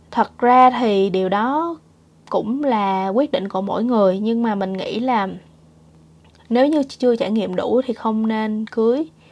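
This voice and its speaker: A woman with a plain, everyday voice speaks fairly slowly at a fairly high pitch with ordinary pitch variation. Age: 30s. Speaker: vlogger. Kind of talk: casual monologue.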